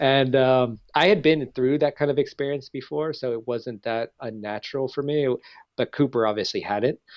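Someone with an American accent and an unremarkable speaking voice talks at a moderate pace with ordinary pitch variation. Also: man, medium pitch for a man. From California, San Diego area. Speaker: cinematographer. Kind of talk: casual interview.

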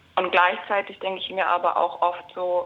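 A woman at a very slow pace. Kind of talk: casual chat. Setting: phone line.

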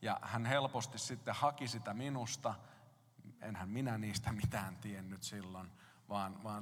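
Audible room echo carries the fairly low voice of a man speaking at a very slow pace. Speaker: pastor. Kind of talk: sermon.

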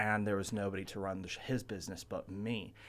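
A man talks at a fairly quick pace with an American accent. His intonation is monotone and flat. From Ventura, California. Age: 20s. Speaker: comic book shop owner. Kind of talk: radio interview.

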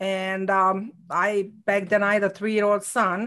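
A woman with a non-native accent, medium in pitch, at a fairly slow pace. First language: not English. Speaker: real estate regional owner. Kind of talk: interview. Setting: live video stream.

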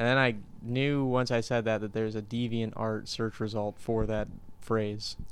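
A man speaks at a moderate pace. His intonation is flat and monotone. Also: medium pitch for a man. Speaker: podcast co-host. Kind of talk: casual chat.

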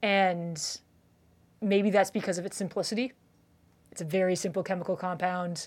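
A woman with a Canadian accent, medium-pitched, at a moderate pace, with ordinary pitch variation, on a very clean recording with a silent background. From Canada. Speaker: limnology professor. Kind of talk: interview. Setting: university office.

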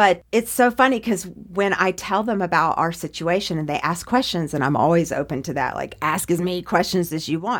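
On a very clean recording with a silent background, a woman speaks in an ordinary speaking voice, fairly low in pitch, at a fairly quick pace with lively intonation. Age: 40s. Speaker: podcast guest. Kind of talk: casual chat. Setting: studio.

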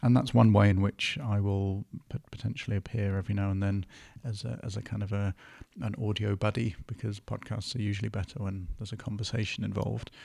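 Somewhat breathy and very fast, this voice with an English accent keeps a fairly even intonation on a very clean recording with a silent background. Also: man, fairly low pitch for a man. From northern England. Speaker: podcast host and producer. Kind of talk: casual chat.

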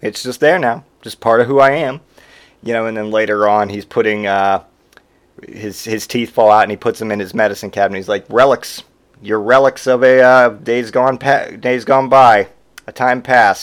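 An unremarkable speaking voice from a man, moderate in pace, medium in pitch and ordinary in pitch variation. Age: 30s. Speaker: podcast host. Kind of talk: casual chat.

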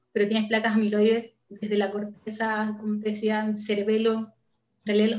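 A woman speaks at a fairly slow pace in a somewhat breathy, fairly high-pitched voice. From northern Chile, Antofagasta. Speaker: neuroscience researcher. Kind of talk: interview.

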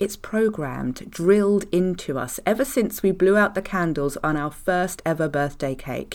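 In a very clean recording with a silent background, a woman speaks at a fairly low pitch and a moderate pace with lively intonation. It is an ordinary speaking voice. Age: 40s. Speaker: fertility mindset coach, podcast host. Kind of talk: solo podcast monologue.

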